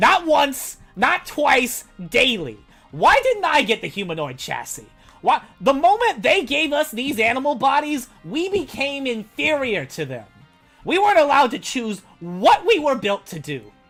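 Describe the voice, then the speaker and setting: Faint music plays behind a high-pitched, put-on character voice. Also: moderate pace. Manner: bitter, resentful.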